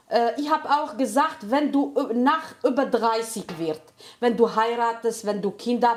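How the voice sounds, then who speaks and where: A woman speaking at a very slow pace, fairly high-pitched, with ordinary pitch variation. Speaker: home cook, channel host. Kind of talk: casual chat while cooking. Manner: halting.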